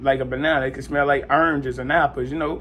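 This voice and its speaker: A man speaks fairly quickly. There is music behind him. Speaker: vlogger sharing seizure experience. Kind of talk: casual personal story. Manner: halting, with repetitions and fillers.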